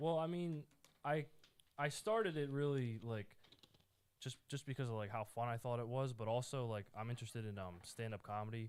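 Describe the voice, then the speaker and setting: A man at a medium pitch and fairly quick pace, with ordinary pitch variation. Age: 20s. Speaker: podcast host guest, aspiring comedian. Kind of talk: casual chat. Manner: halting, many fillers.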